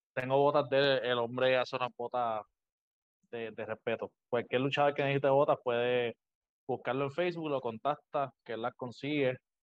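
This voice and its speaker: This is an unremarkable speaking voice: a man at medium pitch, moderate pace and fairly even intonation. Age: 20s. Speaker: professional wrestler. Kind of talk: interview. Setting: video call.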